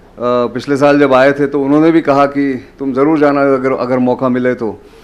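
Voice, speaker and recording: A man talks at a moderate pace in a fairly high pitch. His intonation is monotone and flat. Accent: Marathi. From Maharashtra, India. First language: Marathi (speaking Hindi). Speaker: journalist and defence analyst. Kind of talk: public lecture. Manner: hesitant, many fillers.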